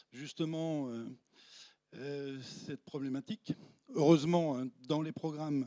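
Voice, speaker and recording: A man's fairly high voice with a dark, mellow tone, fairly even intonation and big swings in loudness, very slow with long, frequent pauses, in a dry, close sound with no echo. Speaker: paleoclimate professor. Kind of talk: lecture with slides. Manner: hesitant, many fillers.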